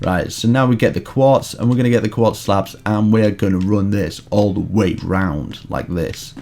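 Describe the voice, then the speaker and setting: A man at a fairly low pitch and moderate pace, with noticeable background noise. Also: ordinary pitch variation, hardly any pauses. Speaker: Minecraft YouTuber. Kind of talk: tutorial. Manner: animated.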